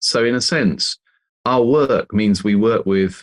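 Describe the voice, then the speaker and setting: A man with a British accent speaks at a fairly low pitch with ordinary pitch variation, in a very clean, dry, close recording with no echo and a silent background. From England. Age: 50s. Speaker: author and leadership consultant. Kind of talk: interview.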